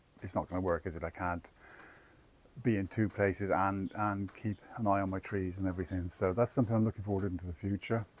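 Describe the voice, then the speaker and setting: A man's very deep, low voice in an English accent, very fast in pace and fairly even in intonation. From England. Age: 60s. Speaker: travel vlogger. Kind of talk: casual chat. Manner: halting.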